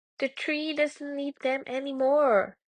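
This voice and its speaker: High-pitched, fairly slow speech from a woman in a put-on character voice. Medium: read story.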